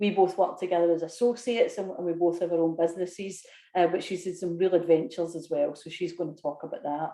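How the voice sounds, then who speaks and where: The speaker has a Scottish accent. The words come out at a very fast pace. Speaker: business consultant and course leader. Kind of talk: webinar sales pitch. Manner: casual, with fillers.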